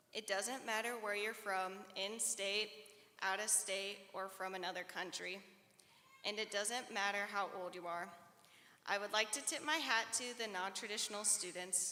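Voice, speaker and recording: A woman with an American accent speaks at a medium pitch in a bright, sharp tone. Her intonation is fairly even, and audible room echo surrounds her. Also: moderate pace. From Iowa, US Midwest. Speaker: student speaker. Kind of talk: commencement speech.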